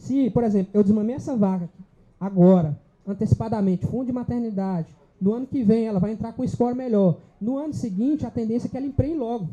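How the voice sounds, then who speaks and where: A very fast, high-pitched male voice with a dark, mellow tone and ordinary pitch variation. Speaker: livestock specialist speaker. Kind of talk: lecture.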